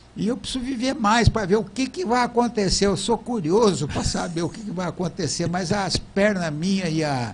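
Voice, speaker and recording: A man's high-pitched voice at a moderate pace, full of lively intonation and with hardly any pauses. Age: 80s+. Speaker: engineer and TV show host. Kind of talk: casual chat.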